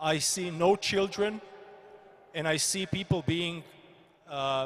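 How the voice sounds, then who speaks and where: A man talks at a very slow pace in a high voice. His pitch varies in an ordinary way. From Croatia. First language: Croatian. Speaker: politician. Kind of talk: panel discussion. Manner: halting.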